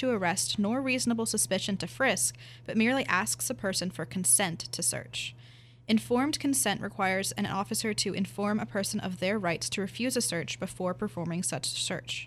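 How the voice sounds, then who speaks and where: With an American accent, a woman talks at a fairly quick pace. Her pitch swings very widely, and vocal fry is present. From rural Pennsylvania. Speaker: university student. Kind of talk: reading aloud.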